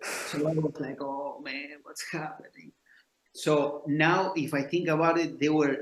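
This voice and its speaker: A man's fairly high voice in a flat monotone at a fairly slow pace. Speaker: jazz bassist. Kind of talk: interview storytelling.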